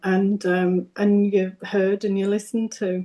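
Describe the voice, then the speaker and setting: A woman speaks in a Yorkshire accent at a medium pitch. Her tone is dark and mellow, and her intonation is monotone and flat. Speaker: business owner, psychotherapy service co-founder. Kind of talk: interview. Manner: halting.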